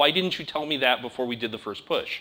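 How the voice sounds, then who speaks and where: Loud and very fast, a man with an American accent speaks in a bright, sharp tone with lively intonation. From United States. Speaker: conference speaker. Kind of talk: technical talk.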